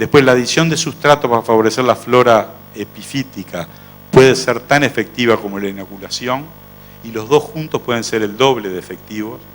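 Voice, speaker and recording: With an unremarkable speaking voice, a man talks at a fairly quick pace in a medium pitch, with ordinary pitch variation and big swings in loudness. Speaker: veterinary researcher and professor. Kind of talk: conference lecture.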